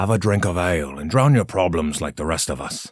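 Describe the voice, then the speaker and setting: A gruff, very deep put-on character voice from a man. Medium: read story. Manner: terse, gruff.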